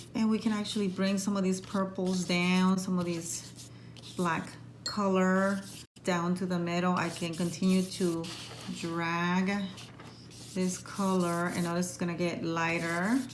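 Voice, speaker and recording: A woman speaks at a fairly slow pace with monotone, flat intonation and long, frequent pauses. Audible room echo surrounds her voice. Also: medium pitch for a woman. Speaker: art teacher. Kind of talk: tutorial.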